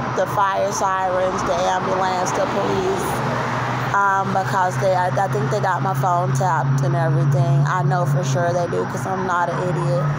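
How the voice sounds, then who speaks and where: Over loud background noise, the speech moves at a moderate pace. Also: woman. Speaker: vlogger. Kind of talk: casual vlog chat. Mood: agitated, earnest. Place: street. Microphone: phone near.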